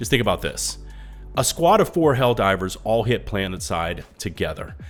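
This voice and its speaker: A man's lively intonation and moderate pace come through with music playing in the background. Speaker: gaming news YouTuber. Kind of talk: gaming news commentary.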